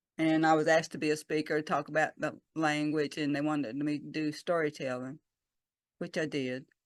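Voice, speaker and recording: A woman with a Southern US accent speaks at a moderate pace with a very deep, low pitch. The sound is dry and close with no echo, and the background is quiet. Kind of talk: talk to a church congregation. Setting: church service.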